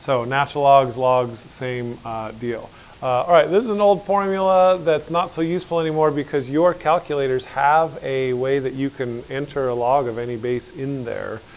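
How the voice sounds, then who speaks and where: Over noticeable background noise, a man with a fairly high pitch talks with hardly any pauses. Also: ordinary pitch variation. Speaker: high school math teacher. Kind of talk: classroom lecture. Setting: classroom with students. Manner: fast.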